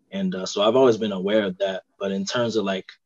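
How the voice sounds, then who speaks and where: The sound is dry and close with no echo. A man with a fairly low pitch talks at a fairly quick pace in a monotone, flat intonation. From US Mid-Atlantic, Delaware. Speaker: recent graduate and resume business owner. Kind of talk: casual interview chat.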